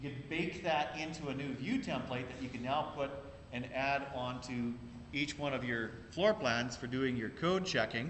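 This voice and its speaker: In a room with audible echo, a man of medium pitch talks at a moderate pace with ordinary pitch variation. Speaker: instructor. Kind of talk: lecture. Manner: loud. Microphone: laptop mic.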